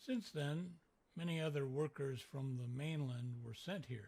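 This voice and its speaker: Putting on a character voice, a man talks at a moderate pace in a fairly high pitch. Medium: video game. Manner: curious, guarded.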